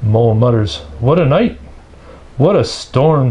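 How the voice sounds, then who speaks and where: Noticeable background noise under a man's medium-pitched voice. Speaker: storybook reader. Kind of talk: children's picture book read-aloud.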